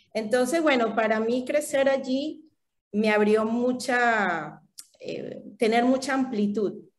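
A woman speaks at a very slow pace in a high-pitched voice. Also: ordinary pitch variation. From Venezuela (Valencia and Caracas). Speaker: holistic therapist and translator. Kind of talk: casual interview.

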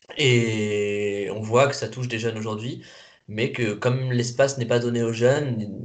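A man's medium-pitched voice at a moderate pace, fairly even in intonation, with noticeable background noise and audible room echo. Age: 20s. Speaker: youth guidance volunteer. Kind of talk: interview. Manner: halting.

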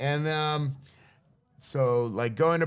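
Speaking very slowly, a man with an American accent uses ordinary pitch variation. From San Francisco, US. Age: 50s. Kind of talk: casual chat. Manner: animated.

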